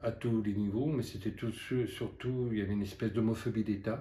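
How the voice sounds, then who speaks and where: A man speaks in a fairly low, somewhat breathy voice with a dark, mellow tone. His intonation stays fairly even, and the room echo is audible. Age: 70s. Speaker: activist and witness of past repression. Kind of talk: testimony. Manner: halting.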